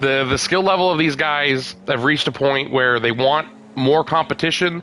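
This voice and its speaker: Over noticeable background noise, a man speaks at medium pitch. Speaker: racing league live-stream commentator. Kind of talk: live commentary. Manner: casual, hesitant with fillers.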